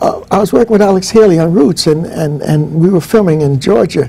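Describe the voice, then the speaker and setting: A man with an American accent, lively intonation and a moderate pace, over noticeable background noise. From northern New Jersey, US. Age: 70s. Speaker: professor. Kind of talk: interview.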